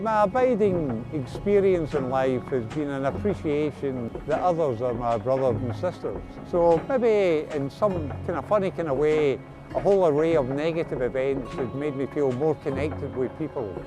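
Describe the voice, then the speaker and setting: Over music in the background, a man with a Glasgow accent talks at a moderate pace in a fairly high voice with lively intonation. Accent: Scottish (Glasgow). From Glasgow, Scotland. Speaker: Big Issue seller, formerly homeless. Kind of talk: documentary interview answer. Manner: reflective, hesitant.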